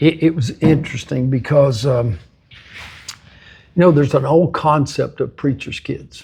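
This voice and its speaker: Speaking in a West Texas accent, a man uses long, frequent pauses and vocal fry. His pitch is fairly high, with ordinary variation and a dark, mellow tone. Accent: West Texas drawl. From West Texas (Lamesa, South Plains). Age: 70s. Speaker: football coach and ministry leader. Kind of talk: interview.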